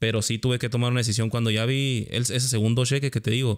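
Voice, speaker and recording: In a quiet background, a man with a medium pitch speaks at a very fast pace in a monotone, flat intonation. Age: 30s. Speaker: podcast host; podcast host or guest. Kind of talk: casual interview chat. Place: home room. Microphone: studio mic.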